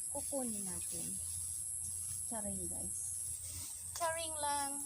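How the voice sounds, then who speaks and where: A soft-spoken woman talks at a fairly slow pace, with noticeable background noise and audible echo in the room. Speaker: vlogger. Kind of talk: casual vlog narration. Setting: outdoors. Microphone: no microphone, camera mic.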